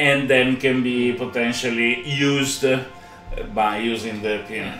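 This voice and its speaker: A man talks at a fairly high pitch. Audible room echo is present. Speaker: podcast co-host, blockchain developer; podcast co-host. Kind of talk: technical demo chat. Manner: halting, many fillers. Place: home room. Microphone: earbuds.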